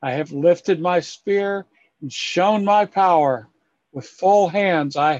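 Ordinary pitch variation in a natural reading voice, set against a quiet background

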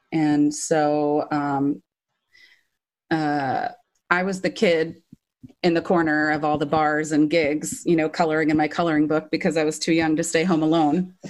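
A woman's very deep, low voice at a moderate pace, with monotone, flat intonation and very even loudness. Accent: Californian. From US West Coast, Orange County, California. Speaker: professional backing singer. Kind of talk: interview.

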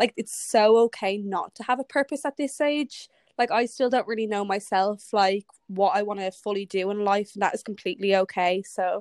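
At a moderate pace, a woman with a medium pitch and a slightly mellow tone speaks with fairly even intonation in a dry, close sound with no echo.

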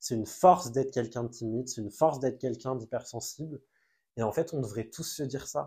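A man with a dark, mellow, somewhat breathy voice speaks very fast with ordinary pitch variation. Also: medium pitch for a man. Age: 20s. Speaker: content creator. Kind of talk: personal testimony in a casual interview.

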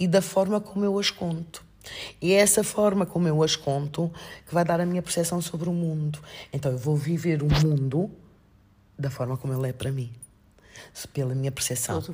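With long, frequent pauses, this somewhat breathy voice moves at a moderate pace, its tone dark and mellow and its pitch variation ordinary. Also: woman, very deep, low pitch for a woman. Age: 50s. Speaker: master's student and coach. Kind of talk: casual chat.

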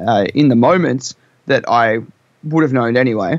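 His voice sits at a medium pitch. The man talks with an Australian accent. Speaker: rock band member. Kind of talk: casual interview. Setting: video call.

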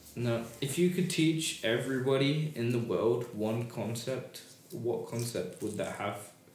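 A man's fairly slow speech with ordinary pitch variation, set against noticeable background noise. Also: medium pitch for a man. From Britain. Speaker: discussion stream host. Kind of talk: casual chat. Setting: live stream.

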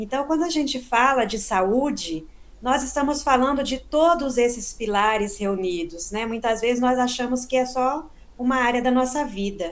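Audible room echo surrounds a woman speaking at a moderate pace in a high pitch with lively intonation. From southern Minas Gerais, Brazil. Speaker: psychotherapist. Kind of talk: interview. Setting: remote recording.

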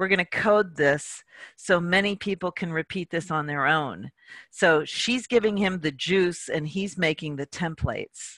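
In a plain, everyday voice, a woman with a fairly low pitch speaks with an American accent at a fairly slow pace, her pitch varying in an ordinary way, on a very clean recording with a silent background and a dry, close sound with no echo. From US East Coast. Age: 60s. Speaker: tarot reader and author. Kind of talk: interview.

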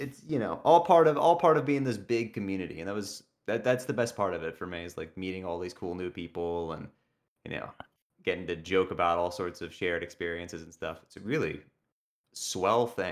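A man speaks fairly quickly in a very deep, low voice with lively intonation and big swings in loudness. The recording is very clean, with a silent background. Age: 20s. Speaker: speedrunner. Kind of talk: casual chat.

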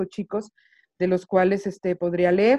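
A woman speaks at medium pitch with a dark, mellow tone and monotone, flat intonation, recorded with a dry, close sound and no echo. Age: 30s. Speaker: poet and video maker. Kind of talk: casual interview. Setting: video call.

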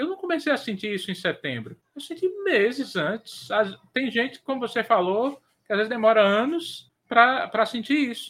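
This man's extremely high voice has a bright, sharp tone, lively intonation and big swings in loudness. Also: moderate pace. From Northeast Brazil. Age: 40s. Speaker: podcast co-host and editor. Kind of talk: casual chat. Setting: live stream.

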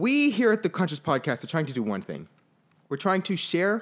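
A man talks at a fairly quick pace with an American accent. His pitch swings very widely. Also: very clean recording, silent background. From Fort Lauderdale, Florida. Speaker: podcast co-host. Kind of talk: casual chat.

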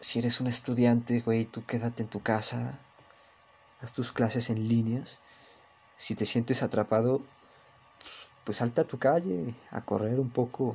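A man with a Mexico City accent speaks at a fairly slow pace in a medium pitch, his voice somewhat breathy and his intonation fairly even, with long, frequent pauses. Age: young. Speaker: podcaster. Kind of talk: casual monologue. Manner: monotone.

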